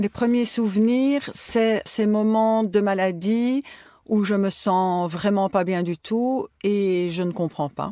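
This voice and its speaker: A woman's medium-pitched, dark and mellow voice at a very slow pace, with ordinary pitch variation, in a dry, close sound with no echo and a very clean recording over a silent background. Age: 60s. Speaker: retired teacher, patient. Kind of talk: personal testimony.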